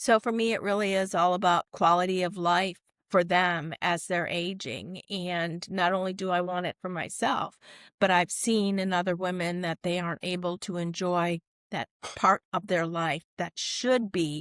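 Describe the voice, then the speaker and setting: Dry and close with no echo, on a very clean recording with a silent background, a woman speaks in a normal speaking voice at a fairly slow pace, fairly low in pitch with fairly even intonation. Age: 60s. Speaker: corporate wellness coach. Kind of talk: podcast interview.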